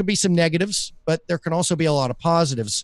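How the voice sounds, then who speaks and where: Talking very fast, a man with a Southern US accent varies his pitch in an ordinary way. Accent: Southern US, mild. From US South. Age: 40s. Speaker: podcaster and business coach. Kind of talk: casual interview chat. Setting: live stream.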